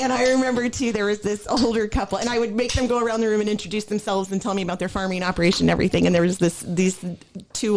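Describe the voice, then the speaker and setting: Over music in the background, a woman with an American accent talks at a very fast pace. Her pitch varies in an ordinary way. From US Midwest, Illinois. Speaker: former farm equipment technology trainer. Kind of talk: casual chat. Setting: podcast recording.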